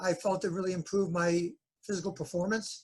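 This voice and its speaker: With an American accent, a man speaks at a fairly quick pace and a high pitch, his intonation fairly even. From northern New Jersey. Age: 60s. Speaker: chiropractor. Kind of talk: interview.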